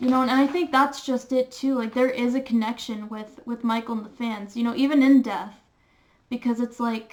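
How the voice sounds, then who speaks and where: In a monotone, flat intonation, a woman with a high pitch speaks at a moderate pace with long, frequent pauses. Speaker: youtuber. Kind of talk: personal vlog monologue. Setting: webcam recording. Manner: rambling, halting with many fillers; slightly slurred words.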